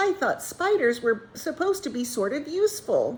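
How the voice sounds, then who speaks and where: A woman does a put-on character voice, squeaky and high-pitched with very wide pitch swings. She keeps a moderate pace. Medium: read story.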